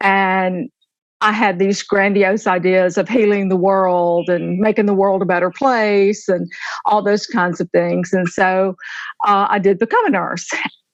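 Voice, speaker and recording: A woman with an Alabama accent speaks at a medium pitch and a fairly slow pace. Her intonation is fairly even and her loudness very even. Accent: Southern US (Alabama). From US South. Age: 60s. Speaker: retired nurse and author. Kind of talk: podcast interview.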